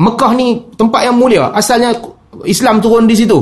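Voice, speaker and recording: Speaking at a moderate speed, the man has an extremely high-pitched voice. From Penang, Malaysia. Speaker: Islamic preacher. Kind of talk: religious lecture.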